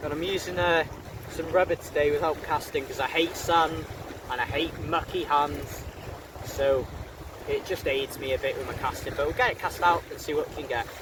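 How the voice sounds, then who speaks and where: Background noise is noticeable. A man speaks at a moderate pace. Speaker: fishing vlogger. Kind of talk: casual vlog to camera. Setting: outdoors on a windy beach. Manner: shouting over wind.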